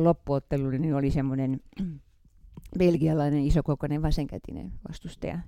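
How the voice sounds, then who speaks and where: A woman's voice with a dark, mellow tone. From Finland, Häme (Hämeenlinna). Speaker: veteran fencer. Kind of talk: interview.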